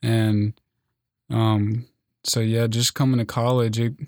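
A man with an American accent speaks at a moderate pace with monotone, flat intonation, in a dry, close sound with no echo on a very clean recording with a silent background. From US South, western North Carolina. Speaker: meteorology student. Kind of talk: casual interview.

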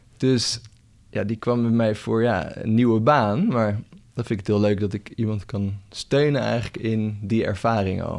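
A man talks in an ordinary speaking voice at a fairly low pitch and fairly slow pace, with ordinary pitch variation. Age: 30s. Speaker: coach. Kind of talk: casual chat.

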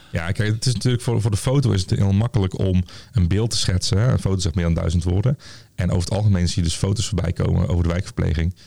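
A man's very deep, low voice with a Brabant accent, dark and mellow in tone, somewhat breathy, very fast, very even in loudness, with ordinary pitch variation. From Tilburg, North Brabant. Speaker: nurse, lecturer and researcher. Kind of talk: casual interview. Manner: hesitant, many fillers.

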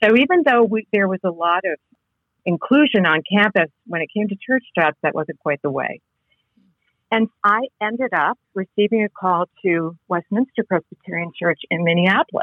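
A plain, everyday voice from a woman of medium pitch, with an American accent, lively intonation and a moderate pace. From New England (Connecticut). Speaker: seminary professor and author. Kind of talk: interview.

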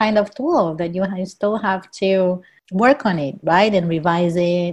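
A woman with a Portuguese accent, medium in pitch, at a fairly slow pace. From Brazil. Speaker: professor. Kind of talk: casual chat.

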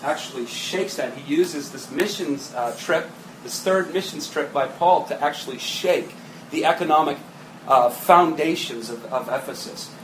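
A man with a fairly high voice talks at a moderate pace, with noticeable background noise and audible room echo. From New England. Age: 30s. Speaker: pastor. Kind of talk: sermon.

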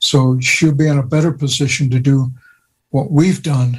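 The speaker keeps a moderate pace with fairly even intonation and a somewhat breathy tone. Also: man. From US, Osage Nation. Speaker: retired theology professor. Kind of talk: radio interview.

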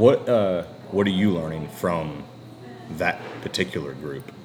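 A man's very deep, low voice at a fairly slow pace, with long, frequent pauses, big swings in loudness, ordinary pitch variation and music in the background. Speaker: podcast host. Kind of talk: casual interview chat.

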